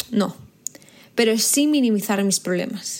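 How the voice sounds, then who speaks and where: Intense in tone, a woman speaks at a fairly high pitch with ordinary pitch variation. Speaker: podcast host and business coach. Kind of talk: motivational monologue.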